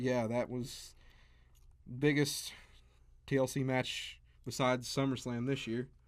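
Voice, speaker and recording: In a very clean recording with a silent background, a man speaks at medium pitch in a monotone, flat intonation. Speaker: wrestling podcast co-host. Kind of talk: casual chat.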